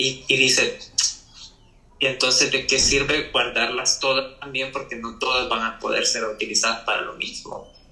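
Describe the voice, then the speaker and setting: With audible room echo and noticeable background noise, a man talks at a moderate pace. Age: young. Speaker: architect. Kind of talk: casual interview chat.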